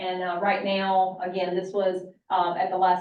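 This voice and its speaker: A woman speaks at medium pitch in a monotone, flat intonation. Room echo is audible. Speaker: college finance officer. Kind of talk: budget presentation to board. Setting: board meeting retreat. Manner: fast.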